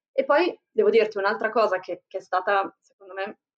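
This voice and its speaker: A woman uses a normal speaking voice, fairly high in pitch. Her pace is moderate and her pitch variation ordinary. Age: 40s. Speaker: entrepreneur and foundation founder. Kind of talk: interview conversation.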